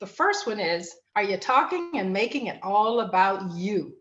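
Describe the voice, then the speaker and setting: A woman's voice at a moderate pace with very wide pitch swings. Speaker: family and life coach, show host. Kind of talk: live online talk show, solo coaching talk. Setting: live online broadcast.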